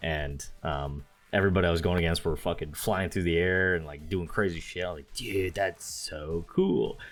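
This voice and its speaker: Over music in the background, a man speaks at a moderate pace with a very deep, low pitch and fairly even intonation. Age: 20s. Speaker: gaming podcast co-host. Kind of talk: casual chat. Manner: halting.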